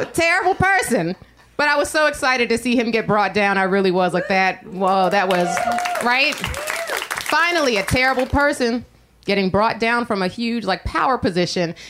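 Over crowd noise in the background, a woman with an American accent speaks at a moderate pace, her pitch swinging very widely while her loudness stays very even. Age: 30s. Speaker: stand-up comedian. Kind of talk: stand-up. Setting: stage with audience.

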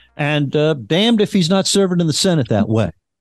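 Music plays in the background as a man with a fairly high pitch speaks with lively intonation. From Louisiana. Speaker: debate show moderator. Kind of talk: panel debate. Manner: halting, many repeated words.

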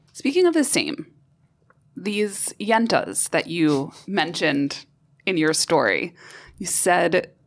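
An unremarkable speaking voice from a woman with an American accent, medium pitch and a fairly slow pace, on a very clean recording with a silent background. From New York. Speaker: podcast host. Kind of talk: interview.

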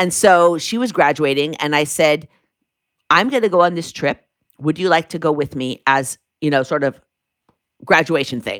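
With long, frequent pauses, a woman speaks in an American accent at a moderate pace, her very deep, low voice showing ordinary pitch variation. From US Pacific Northwest, Seattle. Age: 60s. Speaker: author, former lawyer. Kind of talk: interview.

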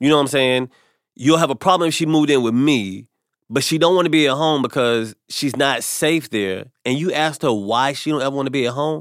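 A man with an American accent and an unremarkable speaking voice talks at a fairly quick pace, fairly high in pitch with ordinary pitch variation, on a very clean recording with a silent background. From US South. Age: 40s. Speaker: comedian. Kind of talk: casual chat.

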